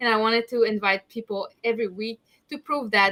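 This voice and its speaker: Her tone is bright and sharp, her pitch fairly high. The woman keeps a moderate pace. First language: French. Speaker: ADHD advocate and show host. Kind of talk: interview.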